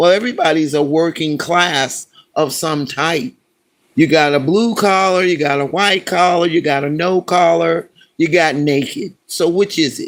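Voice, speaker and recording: The pace is moderate. Its pitch shows ordinary variation. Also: man, high pitch for a man. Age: 70s. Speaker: live stream host. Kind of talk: political rant on live stream. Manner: animated.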